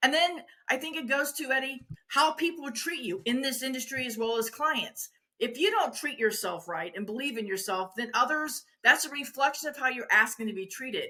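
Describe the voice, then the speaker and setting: Raised and projected, a woman's high-pitched voice carries an animated tone at a moderate pace. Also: lively intonation. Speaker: wedding industry veteran and former photographer. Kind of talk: interview.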